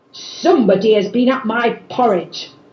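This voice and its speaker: A female-sounding, put-on character voice rises to a fairly high pitch. It moves at a moderate pace. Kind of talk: storybook narration.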